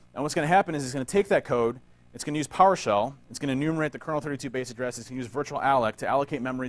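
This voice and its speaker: A man talks at a very fast pace. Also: very clean recording, silent background. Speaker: security conference speaker, penetration tester. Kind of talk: conference talk. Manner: casual.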